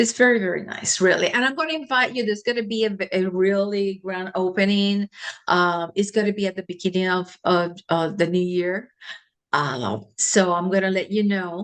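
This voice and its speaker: A woman's normal speaking voice, medium in pitch, moderate in pace, with ordinary pitch variation. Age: 60s. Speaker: physician and holistic healer. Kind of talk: interview.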